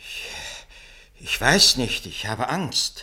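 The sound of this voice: The put-on character voice moves slowly, with big pitch swings and a bright, sharp tone. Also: man, medium pitch for a man.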